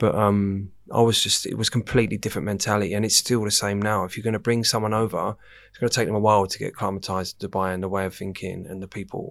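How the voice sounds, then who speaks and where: A man with an English accent talks at a very fast pace in a fairly low pitch, his intonation monotone and flat while his loudness swings widely. The recording is very clean, with a silent background. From England. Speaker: nightclub general manager. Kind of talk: casual chat. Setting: studio.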